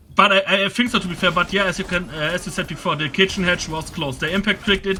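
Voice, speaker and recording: A man with a non-native accent speaks in a high pitch with a bright, sharp tone. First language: not English. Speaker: esports co-caster. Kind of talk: casual chat. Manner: halting.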